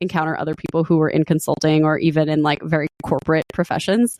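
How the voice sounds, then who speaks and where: Recorded with a dry, close sound and no echo, a woman talks at a fairly low pitch. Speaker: podcast host. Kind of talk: casual interview chat.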